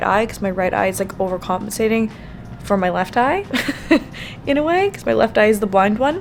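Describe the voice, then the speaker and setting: Music plays in the background as a woman speaks. Her pace is fairly quick, with ordinary pitch variation. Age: 30s. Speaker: lifestyle vlogger. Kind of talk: casual vlog talk to camera.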